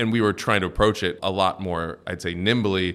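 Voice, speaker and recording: A man's very deep, low voice with a Midwestern US accent, fairly quick delivery and fairly even intonation. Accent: General American (Midwestern). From US Midwest (Cincinnati, Ohio). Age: 30s. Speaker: venture capital investor. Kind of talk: interview. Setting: in-person, San Francisco.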